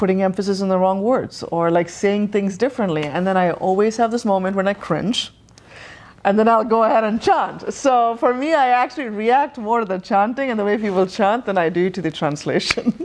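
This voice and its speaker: This woman speaks fairly quickly at a medium pitch. Her pitch varies in an ordinary way. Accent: American. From Tamil Nadu, southern India. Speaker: yoga practitioner. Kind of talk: interview.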